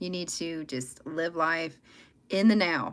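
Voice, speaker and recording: The recording is very clean, and the background is silent. A woman talks in a Southern US accent. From US South. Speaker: tarot reader livestreamer. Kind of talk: live tarot reading stream. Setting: livestream. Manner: loud, talkative.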